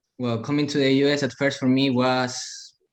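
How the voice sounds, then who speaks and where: A man with a non-native accent speaks at a moderate pace. His intonation is monotone and flat. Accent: foreign. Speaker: interview guest. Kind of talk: interview.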